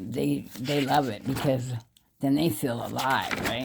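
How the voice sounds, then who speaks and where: Vocal fry at a fairly slow pace. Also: woman. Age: 60s. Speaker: vlogger. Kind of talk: casual monologue. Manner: halting.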